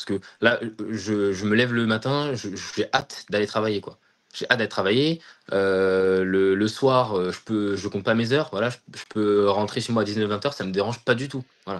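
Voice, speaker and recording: The man's voice sits fairly low and shows ordinary pitch variation. He keeps a moderate pace. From France, Seine-Saint-Denis (Paris suburbs). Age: 20s. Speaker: aerospace engineer. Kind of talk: interview testimony. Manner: hesitant, many fillers and repetitions; enthusiastic.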